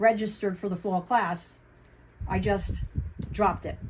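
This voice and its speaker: A woman at medium pitch talks at a moderate pace, her voice somewhat breathy. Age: 60s. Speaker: vlogger and ordained minister. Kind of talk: casual vlog update. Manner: halting.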